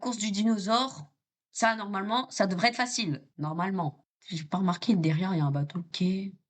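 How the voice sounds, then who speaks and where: This woman speaks fairly quickly at a medium pitch, her tone animated and her intonation lively. Her voice is somewhat breathy. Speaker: gaming video creator. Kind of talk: gameplay commentary. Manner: animated, repetitive exclamations.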